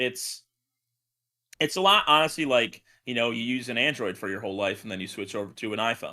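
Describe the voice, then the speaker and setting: With a very clean recording and silent background, a man speaks loudly at a fairly quick pace and a medium pitch, in a bright, sharp, animated tone with lively intonation and long, frequent pauses. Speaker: streamer and podcast co-host. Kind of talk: casual chat. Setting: live stream from a basement studio.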